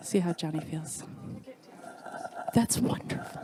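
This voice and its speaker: A woman talks over noticeable background noise. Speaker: professor. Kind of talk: casual chat. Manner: loud.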